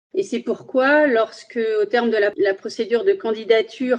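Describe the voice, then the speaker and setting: Her pace is fairly slow, and this woman's pitch sits fairly high. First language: Spanish (speaking French). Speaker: magistrate. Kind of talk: interview.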